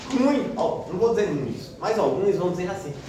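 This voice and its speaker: The speaker is a man. His voice carries audible room echo along with noticeable background noise. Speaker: Sunday school teacher. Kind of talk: Bible class lesson. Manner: speaking quietly.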